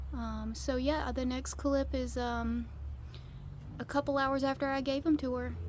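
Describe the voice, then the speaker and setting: Background noise is clearly present. The delivery is rather unhurried. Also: woman. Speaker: backyard chicken keeper vlogger. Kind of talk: casual vlog narration. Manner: low volume.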